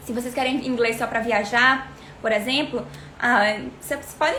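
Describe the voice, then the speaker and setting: Noticeable background noise and audible room echo surround a woman speaking at a high pitch. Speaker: English teacher. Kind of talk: livestream tutorial. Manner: fast.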